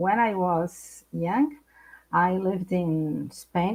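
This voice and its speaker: With a non-native accent, a woman speaks in a fairly low pitch with a dark, mellow tone that is somewhat breathy. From Brazil. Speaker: psychologist. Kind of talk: interview. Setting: live stream.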